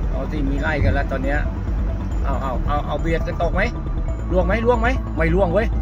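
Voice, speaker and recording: A man's voice in a dry sound with no echo, with clear music in the background. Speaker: driver narrating a chase. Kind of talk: excited live commentary over dashcam chase. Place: car. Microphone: phone near.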